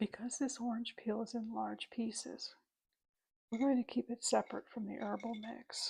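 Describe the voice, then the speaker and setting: Whispering softly, a woman speaks at a moderate pace. The sound is dry and close, with no echo. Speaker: witch character in roleplay ASMR. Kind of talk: ASMR roleplay, teaching herbal tea craft. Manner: soft-spoken, whispered.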